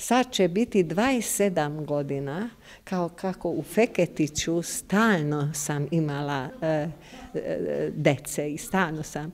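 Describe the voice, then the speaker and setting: A woman speaks at a very slow pace. Her pitch is very deep and low. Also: lively intonation. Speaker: kindergarten teacher. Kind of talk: casual interview. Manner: halting, hesitant. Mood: warm, smiling, fond. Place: hall. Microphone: handheld.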